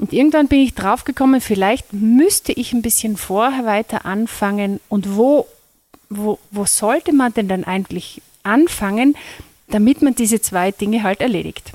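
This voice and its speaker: A woman speaks at a moderate pace with a fairly high voice and ordinary pitch variation. The sound is dry and close, with no echo. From Austria, Carinthia (Lesachtal). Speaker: music teacher and workshop trainer. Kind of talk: interview. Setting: recorded at a music school workshop. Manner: hesitant with fillers.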